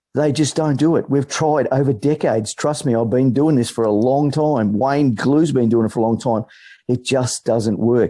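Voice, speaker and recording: A man with an Australian accent at medium pitch and moderate pace, dark and mellow in tone, with ordinary pitch variation, very even loudness and a quiet background. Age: 60s. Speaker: political campaigner. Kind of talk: meeting speech.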